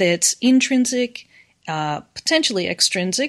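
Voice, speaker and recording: Her pitch swings very widely as a woman speaks with an American accent. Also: quiet background. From US. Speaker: university professor. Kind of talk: casual interview chat, educational discussion. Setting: remote call.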